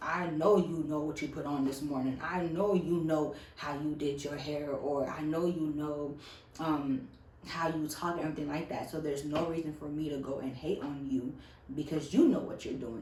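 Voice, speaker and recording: With an American accent, a woman speaks in a very deep, low pitch amid noticeable background noise and audible room echo. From US South. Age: 20s. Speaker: YouTuber. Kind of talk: casual vlog monologue. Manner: animated.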